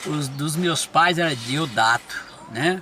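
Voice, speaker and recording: With music playing behind, the man's fairly high voice shows ordinary pitch variation. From Brazil, São Paulo state (Franca region). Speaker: pastor. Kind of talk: life-story interview. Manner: halting, repetitive.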